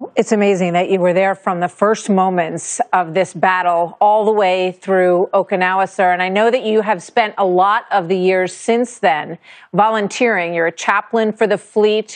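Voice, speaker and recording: Against a quiet background, a woman speaks at a moderate pace with hardly any pauses, fairly even intonation and very even loudness. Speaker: TV news anchor. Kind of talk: interview question. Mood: warm, respectful. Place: studio.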